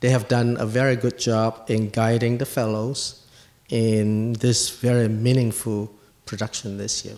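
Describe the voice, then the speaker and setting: Fairly slow speech in a Chinese accent, with noticeable background noise. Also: man. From Asia, Chinese. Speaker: guest commentator at a medical poetry event. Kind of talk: prepared speech.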